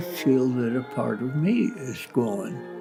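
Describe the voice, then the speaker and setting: With music in the background, a man of medium pitch speaks very slowly, using lively intonation. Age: 80s+. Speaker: philosopher. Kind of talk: interview answer. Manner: slow, reflective.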